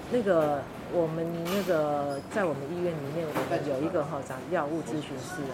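Background noise is noticeable. Speech moves along at a moderate pace. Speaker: pharmacist. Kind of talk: interview. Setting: convenience store.

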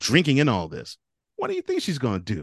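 A man with an American accent, dry, close sound with no echo, and a quiet background. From Houston, Texas. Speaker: sports podcaster. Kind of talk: casual chat. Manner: halting.

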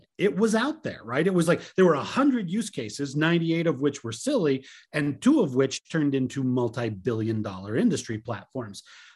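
A somewhat breathy man speaks at a moderate pace with hardly any pauses, his fairly high pitch swinging very widely. The recording is very clean, with a silent background. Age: 50s. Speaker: tech podcast co-host. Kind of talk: casual chat.

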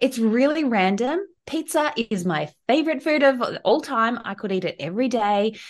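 Very wide pitch swings at a moderate pace, in an Australian accent, against a quiet background. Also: woman, high pitch for a woman. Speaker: travel advisor and business strategist. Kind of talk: podcast interview.

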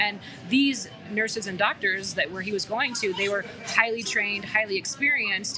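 A woman with an American accent speaks at a moderate pace. Noticeable background noise can be heard. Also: medium pitch for a woman, fairly even intonation. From US, Colorado (Aurora). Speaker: change management consultant. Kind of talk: casual chat. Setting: coffee shop, live.

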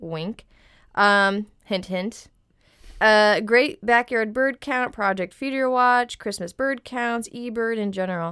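On a very clean recording with a silent background, a woman with a plain, everyday voice talks fairly slowly at a fairly high pitch, with ordinary pitch variation. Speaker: podcast co-host. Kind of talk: casual chat.

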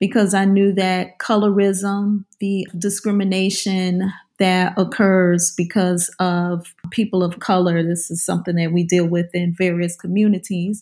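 A woman in a New Orleans accent speaks at a medium pitch and a fairly slow pace, with hardly any pauses and flat, monotone intonation. Her tone is dark and mellow, on a very clean recording with a silent background. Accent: New Orleans Southern American. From US South, New Orleans area. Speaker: author and professor. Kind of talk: interview.

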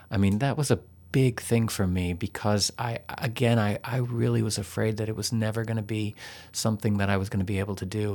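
An unremarkable speaking voice comes from a man at a fairly low pitch, with fairly even intonation. It is a very clean recording with a silent background. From Texas. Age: 50s. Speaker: yoga teacher. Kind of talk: interview.

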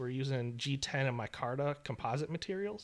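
A man's normal speaking voice at medium pitch and a moderate pace, in a very clean recording with a silent background. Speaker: knife making instructor. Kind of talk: casual chat. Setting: studio.

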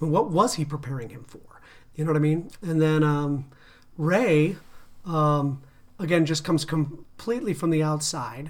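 A man speaks at a fairly high pitch with ordinary pitch variation. He has an ordinary speaking voice. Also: moderate pace. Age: 40s. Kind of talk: casual chat.

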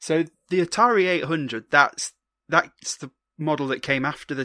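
A man with a British accent speaks at a moderate pace, his pitch fairly high and his tone bright and sharp. His pitch varies in an ordinary way, and the sound is dry and close with no echo. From Britain. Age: 30s. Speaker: podcast host. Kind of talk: casual chat interview. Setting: remote call across time zones.

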